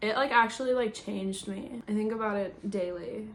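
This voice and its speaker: With an American accent, a woman talks at a moderate pace in a fairly high pitch and fairly even intonation, over noticeable background noise and audible room echo. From US Midwest (Indiana and Chicago). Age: 20s. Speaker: singer-songwriter and YouTuber. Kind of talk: casual Q&A vlog. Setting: home, talking to camera.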